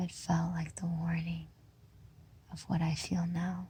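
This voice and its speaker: The voice is gentle in tone, dark and mellow, and somewhat breathy. It moves at a very slow pace with monotone, flat intonation. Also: woman. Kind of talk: poetry reading. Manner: slow, hushed, gentle.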